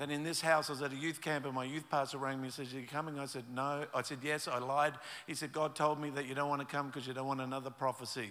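A man with an Australian accent, fairly high pitch and a bright, sharp tone, very fast with hardly any pauses and monotone, flat intonation, on a very clean recording with a silent background. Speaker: pastor. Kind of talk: sermon.

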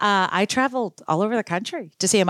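A woman's voice comes through dry and close with no echo on a very clean recording with a silent background. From US, child of Indian immigrants. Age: 50s. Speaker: radio morning show host, former TV news anchor. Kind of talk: interview.

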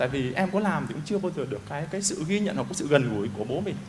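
Amid noticeable background noise and audible room echo, a man with a high voice talks at a very fast pace with lively intonation. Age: 30s. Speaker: workshop participant. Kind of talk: testimony.

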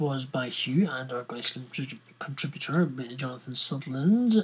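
At a fairly slow pace, a man with a Scottish accent speaks with lively intonation. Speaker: podcast host. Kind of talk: casual, informal. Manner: rambling, chatty.

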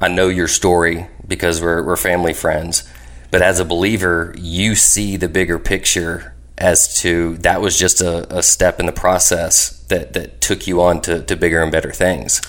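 Vocal fry runs through a man's very deep, low voice. He keeps a moderate pace and fairly even intonation. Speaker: podcast host. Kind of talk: casual interview chat.

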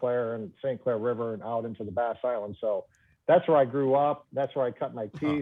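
A man with an American accent uses an ordinary speaking voice at medium pitch. His pace is fairly quick and his intonation fairly even. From Michigan, Trenton area. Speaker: professional bass angler. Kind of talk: casual interview.

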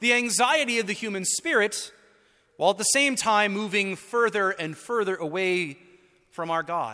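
Lively intonation marks this man's speech. His voice is raised and projected, with a bright, sharp tone. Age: 30s. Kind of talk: sermon.

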